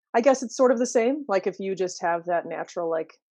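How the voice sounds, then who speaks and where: Against a quiet background, a woman with an ordinary speaking voice talks at a fairly quick pace, medium in pitch, with ordinary pitch variation. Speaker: singer in a dream pop band. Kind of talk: casual interview chat.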